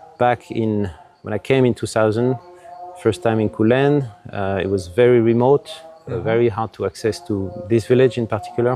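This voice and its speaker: With faint music in the background, a man talks at a moderate pace in a dry sound with no echo. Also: ordinary pitch variation. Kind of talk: interview answer. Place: garden. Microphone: lapel.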